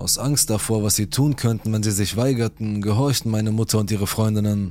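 Over music in the background, a man with a fairly low pitch speaks in a menacing tone at a moderate pace. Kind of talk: true-crime horror narration, reading Reddit stories aloud. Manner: grave, suspenseful storyteller tone, tense and menacing in threatening quotes.

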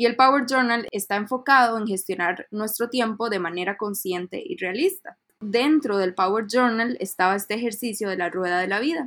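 An ordinary speaking voice with ordinary pitch variation, a moderate pace and hardly any pauses. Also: woman, fairly high pitch for a woman. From Costa Rica. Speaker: UX researcher and designer. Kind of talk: casual interview.

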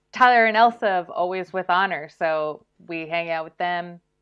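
A woman speaks in an unremarkable speaking voice, pitched fairly low. Her pitch varies in an ordinary way, and her pace is fairly slow. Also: big swings in loudness. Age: 30s. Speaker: lettering artist and illustrator. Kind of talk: casual interview.

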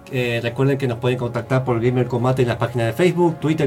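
A man's voice with ordinary pitch variation, music in the background. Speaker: radio host. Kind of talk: casual chat. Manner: animated.

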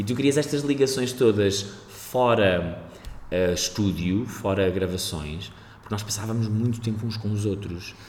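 A man's fairly low-pitched voice at a moderate pace, with ordinary pitch variation and audible room echo. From Portugal, Aveiro. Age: 30s. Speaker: actor. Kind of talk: casual chat.

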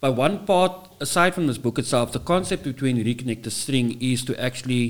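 This is a man speaking. He has a normal speaking voice. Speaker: podcast host. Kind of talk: casual podcast chat.

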